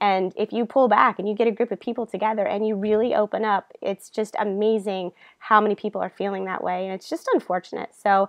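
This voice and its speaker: A woman with an American accent speaks at a very fast pace and medium pitch, her intonation fairly even and her speech hardly broken by pauses. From US, Tampa Florida. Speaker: online marketing coach. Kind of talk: webinar presentation.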